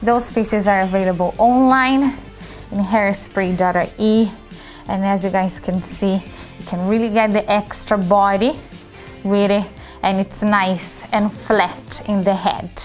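Faint music plays in the background as the speaker goes at a fairly slow pace with fairly even intonation. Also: woman. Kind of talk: product demonstration tutorial. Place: shop.

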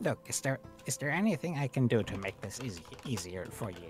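Clear music plays behind a man doing a put-on character voice. He keeps a medium pitch and moves at a fairly quick pace. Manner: warm, conspiratorial, soothing.

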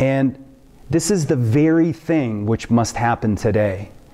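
A dark, mellow tone with very wide pitch swings at a fairly slow pace, over a quiet background. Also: man. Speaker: preacher. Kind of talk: sermon. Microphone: webcam.

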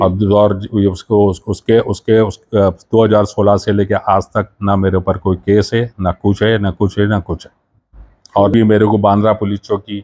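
Against a quiet background, a man speaks with a fairly low pitch and flat, monotone intonation. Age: 60s. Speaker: convicted former defendant, now retired; interviewee. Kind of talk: news interview. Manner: halting. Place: home room. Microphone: handheld.

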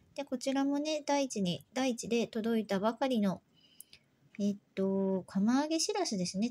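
A woman speaks at a moderate pace in a fairly high, somewhat breathy voice with a dark, mellow tone and lively intonation. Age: 40s. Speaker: YouTuber, housewife; home food vlogger. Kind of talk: casual vlog narration. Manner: hesitant, many fillers; polite, gentle. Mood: relaxed, soft night talk. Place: home room. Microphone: phone near.

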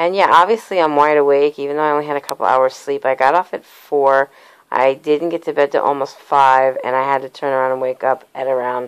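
A woman with a very deep, low voice talks at a fairly quick pace with fairly even intonation over a quiet background. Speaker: vlogger. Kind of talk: casual vlog chat. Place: home room. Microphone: phone near.

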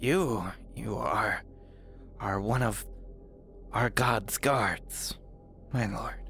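In a raspy, put-on character voice, a man talks at a very slow pace with long, frequent pauses over clear background noise. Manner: servile, reverent.

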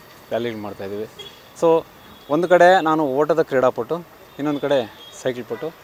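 Background noise is noticeable in this clip. Over it, a man talks with lively intonation. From Kolar district, Karnataka. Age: 60s. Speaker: physical education teacher and athletics coach. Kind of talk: press interview.

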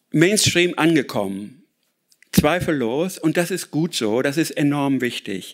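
A man speaks very slowly with very wide pitch swings and long, frequent pauses. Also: quiet background. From Ruhr area, Germany; Germany. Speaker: author and speaker on sustainability; speaker. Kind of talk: lecture. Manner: hesitant with many filler sounds. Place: hall. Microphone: podium.

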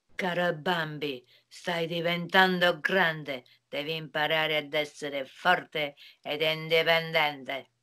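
A woman does a put-on character voice, low in pitch, with a clear, smooth tone that is also bright and sharp. She speaks at a slow pace with fairly even intonation.

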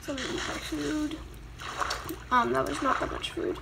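Background noise is noticeable here. The speaker is a woman. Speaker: gaming YouTuber. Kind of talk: casual gameplay commentary. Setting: recorded gameplay voiceover. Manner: casual, filler-heavy, chatty.

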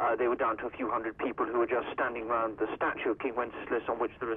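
Through light background noise, a man rattles off words at a very fast pace in a monotone, flat intonation. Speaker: news correspondent. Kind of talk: news report by phone. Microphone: phone line.

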